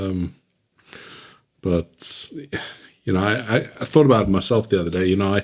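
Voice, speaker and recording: A man with a South African accent at a fairly quick pace, ordinary pitch variation, and long, frequent pauses. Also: fairly low pitch for a man. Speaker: podcast host. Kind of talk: casual chat.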